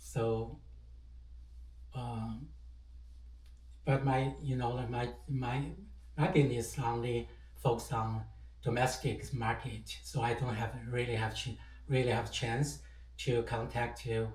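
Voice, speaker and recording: Audible room echo surrounds a man's voice. He speaks at a very slow pace with long, frequent pauses. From China, autonomous region. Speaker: entrepreneur sharing English learning tips. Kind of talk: personal story. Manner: halting, many fillers.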